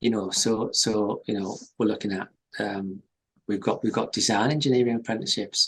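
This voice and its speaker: A man speaks with a Teesside accent. His intonation stays fairly even. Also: medium pitch for a man, moderate pace. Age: 60s. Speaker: company chief executive. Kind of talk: interview. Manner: halting, many repetitions.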